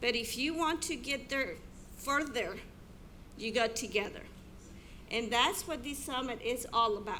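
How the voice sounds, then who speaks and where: A high-pitched woman at a fairly slow pace, with ordinary pitch variation, long and frequent pauses, and audible room echo. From abroad, immigrated to US. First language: not English. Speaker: teacher. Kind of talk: keynote speech.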